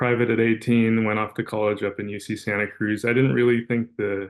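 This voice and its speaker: With a West Coast accent, a man talks at a moderate pace and keeps his intonation fairly even. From Los Angeles, California (Van Nuys). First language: Russian. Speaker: corporate pilot. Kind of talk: webinar career talk. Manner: casual, many fillers.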